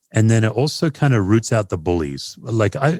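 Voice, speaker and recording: With an Australian accent, a man speaks fairly quickly with lively intonation in a dry, close sound with no echo, on a very clean recording with a silent background. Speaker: pastor and author. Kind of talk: podcast interview.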